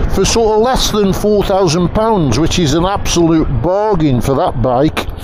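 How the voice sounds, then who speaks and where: A man's fairly slow speech, dry with no echo, amid noticeable background noise. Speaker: motorcycle reviewer. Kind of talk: casual ride commentary. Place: motorbike. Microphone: helmet.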